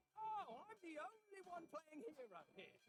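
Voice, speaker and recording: The speaker uses a put-on character voice at an extremely high pitch. The pace is moderate. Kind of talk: loud yelling. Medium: video game. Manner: rowdy, sarcastic.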